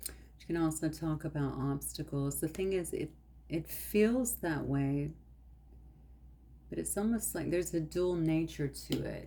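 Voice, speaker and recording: The pace is on the slow side, fairly so. This voice is soft-spoken. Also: woman. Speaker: tarot card reader. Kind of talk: tarot reading.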